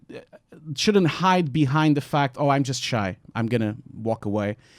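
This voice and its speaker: At a moderate pace, a man with a Portuguese accent speaks with very wide pitch swings on a very clean recording with a silent background and a dry, close sound with no echo. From Portugal. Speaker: visual effects artist. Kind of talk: panel discussion. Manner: talkative.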